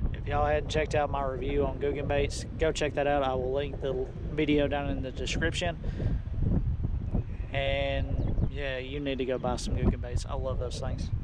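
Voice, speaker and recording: A man is heard in a dry sound with no echo over loud background noise. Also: moderate pace. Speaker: fishing vlogger. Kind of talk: casual vlog chat. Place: boat. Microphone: phone near.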